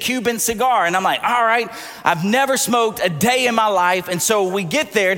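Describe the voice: The pitch moves in ordinary ways. It is plain reading aloud.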